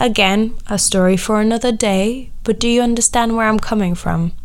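Moderately paced speech from a woman amid noticeable background noise. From Latvia. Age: 20s. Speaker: podcast host. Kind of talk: personal monologue.

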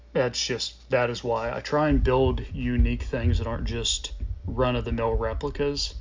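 A man with a very deep, low voice and very wide pitch swings speaks at a moderate pace. Noticeable background noise and audible room echo fill the recording. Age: 30s. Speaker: podcast host and motocross rider. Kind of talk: casual solo monologue.

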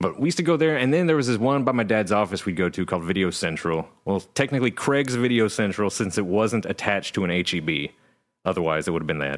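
A man with an American accent talks at a very fast pace in a fairly low voice with very wide pitch swings. His loudness is very even, and the recording is very clean with a silent background. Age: 30s. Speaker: podcast co-host. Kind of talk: casual chat.

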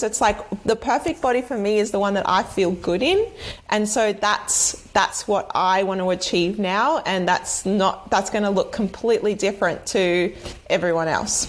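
A woman with a normal speaking voice, fairly high in pitch, with ordinary pitch variation and a fairly slow pace. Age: 30s. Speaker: movement and fitness coach. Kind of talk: casual chat.

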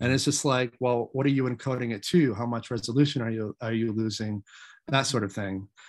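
Recorded very cleanly against a silent background with a dry, close sound and no echo, a man with an American accent has an unremarkable speaking voice, medium pitch and fairly even intonation. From Maine, US. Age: 40s. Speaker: independent filmmaker. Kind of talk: interview.

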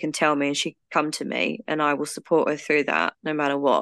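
A woman's very deep, low voice carries a British accent and a bright, sharp tone. The background is quiet. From UK. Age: 30s. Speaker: guest with trichotillomania. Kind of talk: casual interview, personal story.

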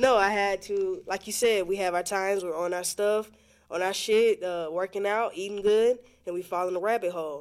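A woman with an American accent and a normal speaking voice, medium in pitch, fairly even in intonation, at a moderate pace. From Florida Panhandle (Pensacola). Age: 20s. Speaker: musician and personal trainer. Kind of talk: casual interview.

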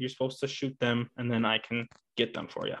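It's a man with a plain, everyday voice at a medium pitch. He talks at a fairly quick pace. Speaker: upland bird hunter and podcast co-host. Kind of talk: casual chat. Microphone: new podcast mic.

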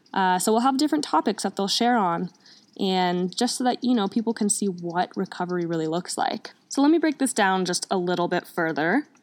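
A woman with a medium pitch speaks at a fairly quick pace with lively intonation. The sound is dry and close with no echo, on a very clean recording with a silent background. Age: 20s. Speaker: podcast host, recovering alcoholic. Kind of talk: casual monologue.

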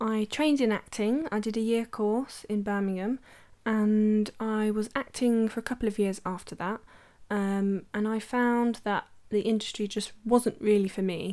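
With an English Midlands accent, a woman's fairly high-pitched voice has a dark, mellow tone and fairly even intonation in a very clean recording with a silent background. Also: moderate pace. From English West Midlands, Worcestershire. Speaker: photographer and podcast host. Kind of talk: solo podcast monologue. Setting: home recording.

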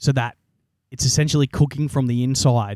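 An Australian-accented man at a very fast pace, medium pitch with ordinary pitch variation, dark, mellow tone, and a dry, close sound with no echo. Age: 20s. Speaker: podcast host. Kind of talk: casual chat.

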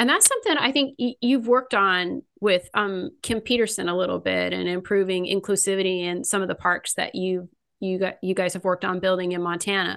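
A woman with an American accent and a normal speaking voice talks at a fairly quick pace with hardly any pauses, medium pitch and ordinary pitch variation, against a quiet background. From California. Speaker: podcast host, skatepark advocate. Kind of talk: interview.

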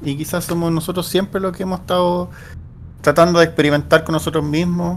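A man's voice, fairly high in pitch, with monotone, flat intonation. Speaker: podcast co-host. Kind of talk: casual chat.

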